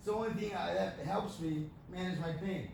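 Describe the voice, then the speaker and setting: A high-pitched male voice with ordinary pitch variation and audible room echo. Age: 30s. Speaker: amputee giving a talk on pain and cannabis. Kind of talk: Q&A talk to an audience. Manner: halting, repeats words.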